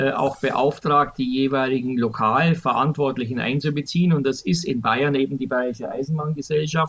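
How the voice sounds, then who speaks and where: A man talks at a moderate pace in a fairly high voice with ordinary pitch variation, over noticeable background noise. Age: 60s. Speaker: public transport expert, retired transit executive. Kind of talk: podcast interview. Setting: remote recording.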